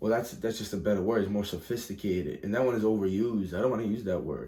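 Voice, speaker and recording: A man speaks at a very fast pace. His fairly low voice has a dark, mellow tone. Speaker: vlogger. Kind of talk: casual monologue. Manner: rambling, halting with false starts.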